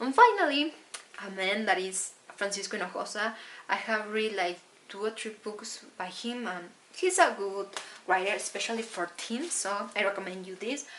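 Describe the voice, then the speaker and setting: Over noticeable background noise, a woman with a Spanish accent speaks at a moderate pace and medium pitch, with ordinary pitch variation and big swings in loudness. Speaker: book vlogger. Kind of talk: casual book haul talk. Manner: halting.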